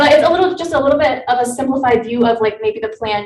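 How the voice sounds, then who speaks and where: This woman talks very fast in a high voice. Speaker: student presenting a software project. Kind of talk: project presentation.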